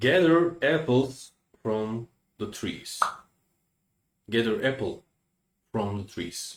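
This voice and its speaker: A man with a Turkish accent, medium in pitch, with lively intonation and long, frequent pauses. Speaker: language teacher. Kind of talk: tutorial. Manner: halting.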